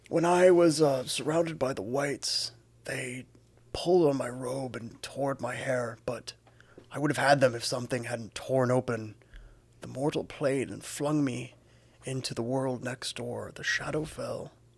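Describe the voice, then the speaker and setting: Someone puts on a character voice at a low-to-middle pitch. The pace is moderate. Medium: actual play. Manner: grand, storytelling.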